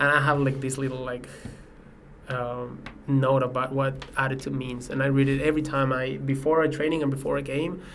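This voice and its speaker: A man's fairly quick, monotone, flat delivery at a medium pitch with a Spanish accent, with noticeable background noise and audible room echo. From Mexico, Mexico City. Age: 20s. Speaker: professional soccer player. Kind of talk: podcast interview.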